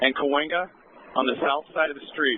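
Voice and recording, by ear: At a moderate pace, a man talks with a fairly high pitch and fairly even intonation.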